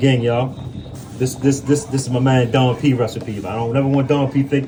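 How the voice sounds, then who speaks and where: Against noticeable background noise, a man talks at a very fast pace in a monotone, flat intonation. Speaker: prison cook on video. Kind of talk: cooking tutorial. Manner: stuttering, repetitive.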